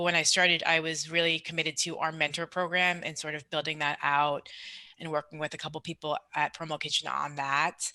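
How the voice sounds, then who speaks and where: In a New York accent, a woman talks at a fairly quick pace in a very deep, low pitch, with a bright, sharp tone, monotone, flat intonation and a dry, close sound with no echo. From New York, Long Island. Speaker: promotional products salesperson. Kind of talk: podcast interview. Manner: fast.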